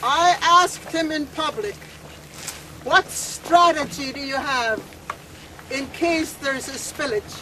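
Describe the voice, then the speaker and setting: A woman's high-pitched voice, very slow with long, frequent pauses and ordinary pitch variation, against noticeable background noise. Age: 70s. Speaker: First Nations elder and activist. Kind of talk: protest speech.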